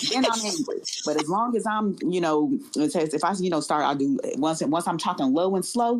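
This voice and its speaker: A woman speaks with very wide pitch swings and very even loudness, hardly pausing at all, over noticeable background noise. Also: medium pitch for a woman, moderate pace. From Indianapolis, Indiana (born Chicago South Side). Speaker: airline professional. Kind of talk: podcast interview.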